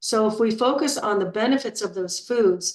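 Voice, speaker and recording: A woman with an unremarkable speaking voice talks fairly slowly. Her pitch is medium. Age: 60s. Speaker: health and weight-loss coach. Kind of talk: group coaching talk. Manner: casual, with frequent fillers and repetitions.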